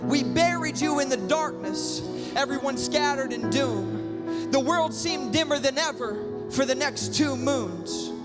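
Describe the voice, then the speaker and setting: A man speaking at a fairly slow pace with music in the background. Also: hardly any pauses. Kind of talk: spoken word poetry performance. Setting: live performance.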